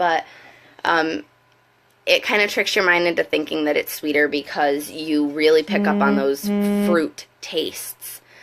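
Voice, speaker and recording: A woman's very deep, low voice with ordinary pitch variation and very even loudness, at a fairly slow pace with long, frequent pauses, music in the background. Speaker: wine consultant. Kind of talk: casual live video talk to camera. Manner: hesitant, many fillers.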